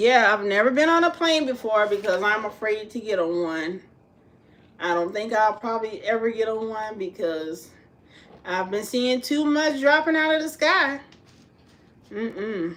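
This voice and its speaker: In an American accent, a woman with a fairly high pitch speaks in an animated tone at a moderate pace, her pitch swinging very widely, with long, frequent pauses. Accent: said to sound like she's from New York. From US South, South Carolina. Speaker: home cook and vlogger. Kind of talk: casual livestream chat.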